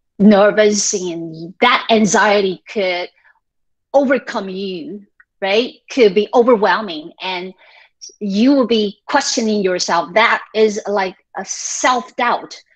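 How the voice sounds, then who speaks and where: A woman with a Taiwanese accent, medium-pitched, with ordinary pitch variation and a very slow pace. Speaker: high school English teacher. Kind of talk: workshop lecture. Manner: conversational, with frequent fillers.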